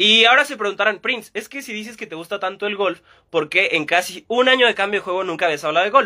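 On a very clean recording with a silent background, a man speaks at a fairly quick pace in a raised, projected voice, high and bright with a sharp tone and lively intonation. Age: 20s. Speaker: sports podcast host. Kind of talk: casual solo podcast monologue. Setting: Instagram live stream.

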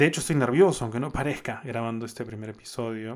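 A man speaks very fast. His voice sits at a medium pitch, with fairly even intonation. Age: 30s. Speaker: podcast host. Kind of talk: casual monologue. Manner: unscripted, with frequent fillers.

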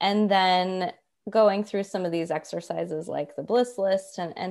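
A woman's ordinary speaking voice, medium in pitch, fairly even in intonation and fairly slow in pace. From US South, Atlanta. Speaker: money coach. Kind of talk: casual chat.

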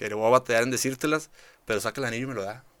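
Set against total silence in a very clean recording, the voice sounds bright and sharp. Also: man. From rural Nuevo León, Mexico. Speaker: state agriculture official and cattle rancher. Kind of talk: casual interview. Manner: halting, many fillers and repetitions.

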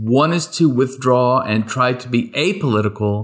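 On a very clean recording with a silent background, a man speaks in a normal speaking voice with an American accent. His intonation is lively and his pace fairly slow. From rural East Texas. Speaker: podcast co-host, academic teacher. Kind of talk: casual chat.

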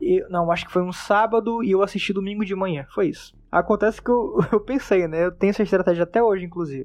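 With hardly any pauses, a man speaks very fast at a high pitch with ordinary pitch variation. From Manaus, northern Brazil. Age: 20s. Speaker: podcast editor and host. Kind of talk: casual monologue. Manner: animated.

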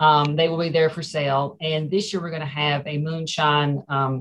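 A woman with an American accent and a very deep, low pitch at a moderate pace, over a quiet background. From Ferrum, Franklin County, Virginia. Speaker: museum director. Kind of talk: casual interview.

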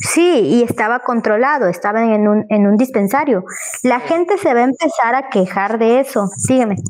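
A high-voiced woman with lively intonation and very even loudness, amid noticeable background noise. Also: moderate pace. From Ticul, Yucatán, Mexico. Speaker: historian. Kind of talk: casual chat.

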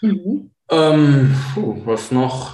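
A man with a medium pitch talks in a somewhat breathy voice. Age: 30s. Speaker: blogger and SEO consultant. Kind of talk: interview. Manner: halting, many fillers.

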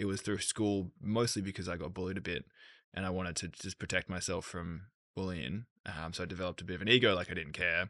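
Someone with an Australian accent speaks at a very fast pace in a bright, sharp tone with fairly even intonation. The sound is dry and close with no echo, over a quiet background. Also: man, very deep, low pitch for a man. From Australia, Sydney. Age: 30s. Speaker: entrepreneur. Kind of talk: casual chat.

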